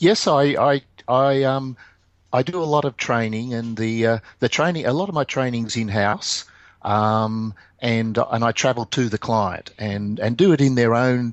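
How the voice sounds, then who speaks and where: The voice carries an Australian accent with ordinary pitch variation. Its pace is moderate. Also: man, medium pitch for a man. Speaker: quality management consultant. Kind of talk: podcast interview answer.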